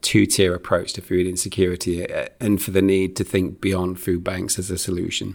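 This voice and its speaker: A man with a Lancashire accent talks at a fairly quick pace in a very deep, low voice. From northern England, Preston. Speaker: charity chief executive. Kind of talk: interview conversation.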